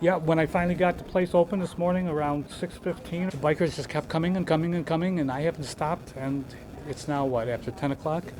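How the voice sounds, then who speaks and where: At a very fast pace, this man talks with a fairly high pitch and fairly even intonation as noticeable noise fills the background. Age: 70s. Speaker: bakery cafe owner. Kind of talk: casual interview.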